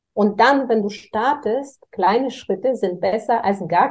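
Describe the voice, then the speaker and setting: A woman with a Bulgarian accent speaks at a moderate pace and fairly high pitch, with ordinary pitch variation. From Bulgaria, Varna. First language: Bulgarian (speaking German). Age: 40s. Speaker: real estate executive. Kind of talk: interview.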